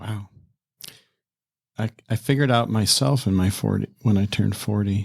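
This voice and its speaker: A man's fairly low voice with ordinary pitch variation, a moderate pace and long, frequent pauses, in a dry, close sound with no echo. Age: 60s. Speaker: retired pastor. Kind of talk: casual interview.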